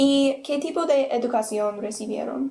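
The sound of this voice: With vocal fry in her voice, a woman speaks at a moderate pace in a high pitch, her tone dark and mellow and her pitch varying in an ordinary way.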